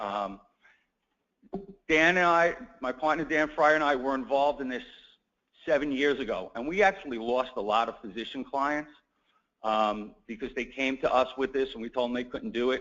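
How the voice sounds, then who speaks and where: With a New York accent, a man of medium pitch talks at a moderate pace with ordinary pitch variation and long, frequent pauses. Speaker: healthcare attorney. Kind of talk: conference talk.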